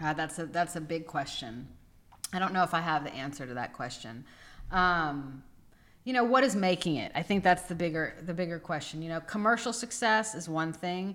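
A woman with an ordinary speaking voice talks at a moderate pace and a fairly low pitch with lively intonation. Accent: American. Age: 40s. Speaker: gallery owner and artist. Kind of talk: interview.

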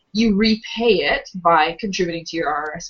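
A woman speaks in a normal speaking voice at medium pitch with ordinary pitch variation. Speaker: podcast co-host, financial advisor. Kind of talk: casual chat.

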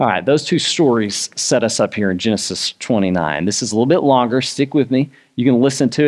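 The clip consists of plain reading aloud.

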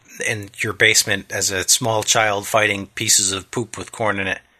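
A quiet man with an American accent, a bright, sharp tone, fairly low pitch and a moderate pace. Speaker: podcast co-host. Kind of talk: casual chat.

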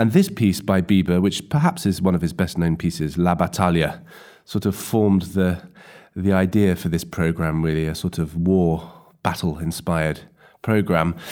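On a very clean recording with a silent background, a man with a very deep, low pitch and a dark, mellow tone speaks at a moderate pace with fairly even intonation. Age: 30s. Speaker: viola player and artistic director. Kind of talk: interview. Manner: hesitant, with fillers.

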